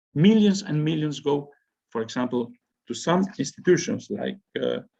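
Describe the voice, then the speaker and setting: Somewhat breathy and dark, mellow in tone, this voice moves at a moderate pace with lively intonation. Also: man, fairly high pitch for a man. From Spain. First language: Spanish. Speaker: university professor. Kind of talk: lecture. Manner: halting.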